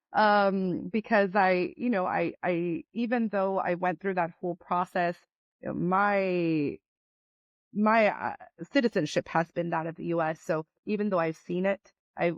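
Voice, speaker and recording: Speaking in a Spanish accent, a woman keeps a moderate tempo. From Latin America, moved to US as young child. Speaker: business owner. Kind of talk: interview. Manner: frequent repetitions and fillers.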